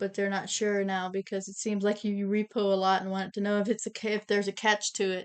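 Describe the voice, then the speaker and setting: A woman with an American accent speaks at a very fast pace and a medium pitch, her intonation monotone and flat, with hardly any pauses. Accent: Amish accent noticed by viewers. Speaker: co-host reading viewer questions. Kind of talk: livestream Q&A.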